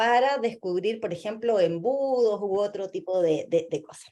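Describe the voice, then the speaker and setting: Very wide swings in pitch across a dark, mellow female voice. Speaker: lecturer, UX designer. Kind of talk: lecture.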